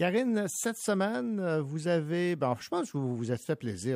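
This man's pitch swings very widely as he talks at a fairly slow pace. The recording is very clean, with a silent background. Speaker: radio host. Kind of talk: radio book show hosting.

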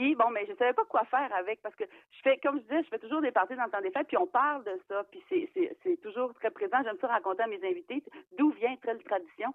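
A woman with a high pitch talks at a fairly quick pace, her pitch swinging very widely. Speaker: novelist. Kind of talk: interview.

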